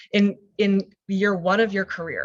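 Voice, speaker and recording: The woman's voice sits at a medium pitch. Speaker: career coach. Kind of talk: webinar presentation. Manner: fast.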